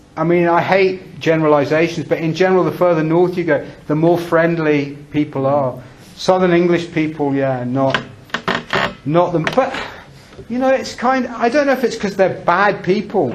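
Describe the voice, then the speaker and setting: A man's high-pitched voice with lively intonation at a moderate pace, plus audible room echo and noticeable background noise. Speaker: English teacher giving a talk. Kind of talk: talk with audience discussion. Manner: conversational, hesitant with repetitions.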